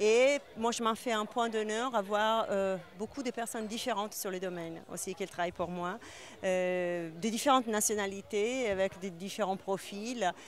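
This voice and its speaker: On a very clean recording with a silent background, a woman with a slight non-native accent speaks at medium pitch and a fairly slow pace with ordinary pitch variation. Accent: slight foreign. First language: not French (speaking French). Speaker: winemaker and business owner. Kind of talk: interview. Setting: awards event. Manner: hesitant, many fillers.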